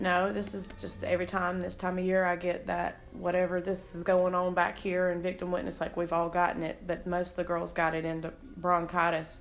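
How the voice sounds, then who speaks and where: In a room with audible echo, a woman speaks at a fairly quick pace with monotone, flat intonation. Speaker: victim witness office employee. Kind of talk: private conversation. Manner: halting.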